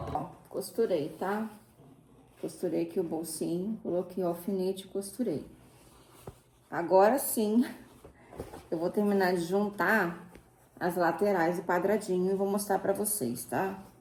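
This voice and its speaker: Quiet speech moves at a fairly slow pace with ordinary pitch variation and long, frequent pauses. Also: woman, medium pitch for a woman. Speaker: sewing crafts youtuber. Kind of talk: tutorial. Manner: casual, chatty; speaking quietly.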